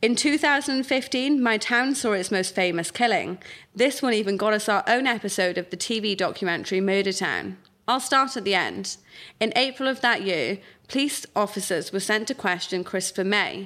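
Bright and sharp in tone, a woman with a South Wales accent speaks at a medium pitch and moderate pace with ordinary pitch variation, on a very clean recording with a silent background. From South Wales, Pontypridd. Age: 20s. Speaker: writer. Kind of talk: reading aloud.

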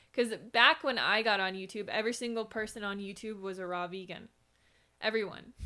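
A woman with an American accent, an unremarkable speaking voice, fairly high pitch, fairly even intonation, a fairly quick pace and big swings in loudness. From Minnesota, US Midwest. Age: 30s. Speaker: vegan YouTuber. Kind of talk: casual interview.

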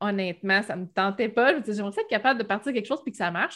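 A quiet background behind a woman with a medium-pitched voice and ordinary pitch variation. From Quebec, Bas-Saint-Laurent (Rimouski). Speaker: Shopify expert, web entrepreneur. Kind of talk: casual interview.

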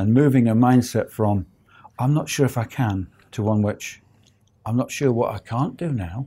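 A man's somewhat breathy, dark, mellow voice at medium pitch and a moderate pace, with long, frequent pauses, in a very clean recording with a silent background. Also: ordinary pitch variation. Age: 60s. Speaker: property investor. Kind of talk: interview. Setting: studio.

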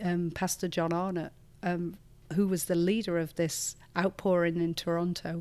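A speaker with a northern English accent is heard on a very clean recording with a silent background. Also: woman. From northern England. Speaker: church leader. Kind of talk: interview conversation. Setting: studio.

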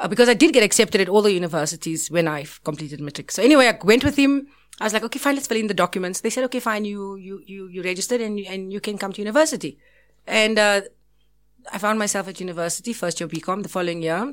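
In a very clean recording with a silent background, a woman talks at a very fast pace. Her intonation is lively, and her loudness swings a lot. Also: medium pitch for a woman. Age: 40s. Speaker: restaurant owner and entrepreneur. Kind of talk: casual chat.

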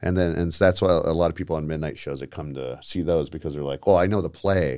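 A man talks at a fairly quick pace in a very deep, low pitch, with a dark, mellow tone, vocal fry and fairly even intonation. The recording is very clean, with a silent background. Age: 30s. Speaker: theater performer and ordained officiant. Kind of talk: casual chat. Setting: studio.

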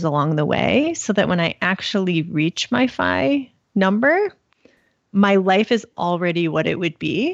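A woman with an unremarkable speaking voice at a medium pitch. She talks at a fairly slow pace. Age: 30s. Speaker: personal finance blogger. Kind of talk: interview.

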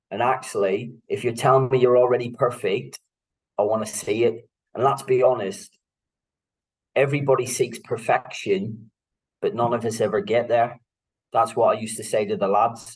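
His voice is somewhat breathy, medium in pitch, with ordinary pitch variation, a moderate pace, and long, frequent pauses from this man. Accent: Northern Irish. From Northern Ireland, Belfast. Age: 40s. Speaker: football coach, former para footballer. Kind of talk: interview conversation.

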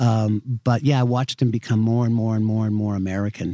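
The man's dark, mellow tone comes through with a dry, close sound and no echo. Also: very clean recording, silent background. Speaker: screenwriter. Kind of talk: casual interview. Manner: relaxed, conversational.

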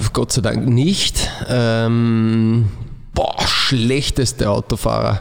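Noticeable background noise fills the clip. A man talks through it very slowly. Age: 30s. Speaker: football coach, former player. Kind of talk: casual chat.

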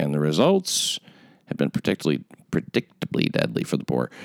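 Fairly quick speech from a man with vocal fry, dry and close with no echo. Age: 70s. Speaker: comedy podcast host. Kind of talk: casual comedic banter.

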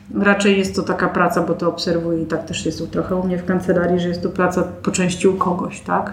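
A woman talks at a very fast pace in a fairly low pitch, with monotone, flat intonation and hardly any pauses. Audible room echo and noticeable background noise fill the recording. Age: 40s. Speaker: lawyer. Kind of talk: interview.

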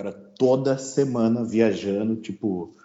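A man speaks at medium pitch. He has a plain, everyday voice. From Brazil, São Paulo state interior. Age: 30s. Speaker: pitmaster and agronomist. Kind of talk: casual interview chat.

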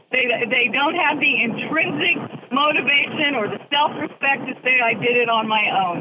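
A woman with a high pitch talks at a moderate pace with ordinary pitch variation amid noticeable background noise. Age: 60s. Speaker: caller, former business owner. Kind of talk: radio call-in. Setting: phone call from a car. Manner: animated.

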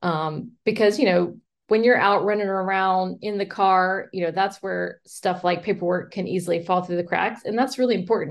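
With an American accent and a normal speaking voice, a woman speaks at a medium pitch and moderate pace, with fairly even intonation and hardly any pauses. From US South, Mobile, Alabama. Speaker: real estate agent. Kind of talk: casual interview.

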